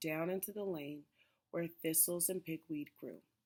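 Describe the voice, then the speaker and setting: In a plain, everyday voice, a woman speaks at a fairly slow pace with fairly low pitch and ordinary pitch variation on a very clean recording with a silent background. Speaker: elementary school teacher. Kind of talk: children's book read-aloud.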